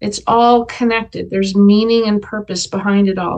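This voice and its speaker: A woman has an unremarkable speaking voice. It sits at a fairly high pitch with fairly even intonation. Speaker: animal sanctuary founder and author. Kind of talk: interview. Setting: video call.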